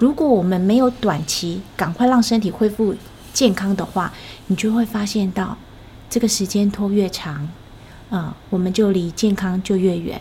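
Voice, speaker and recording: A woman at medium pitch speaks at a moderate pace with ordinary pitch variation. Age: 50s. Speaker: health coach's wife, former insurance agent. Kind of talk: casual interview.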